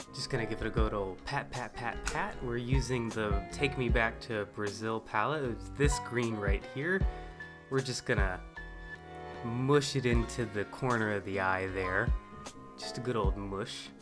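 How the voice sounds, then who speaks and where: Music plays in the background as a man speaks at a fairly slow pace. His pitch is fairly low and his intonation lively. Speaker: amateur voice-over, boyfriend of the makeup artist. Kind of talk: comedic improvised voice-over of a makeup tutorial. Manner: joking, ad-libbed, mock-professional with filler words.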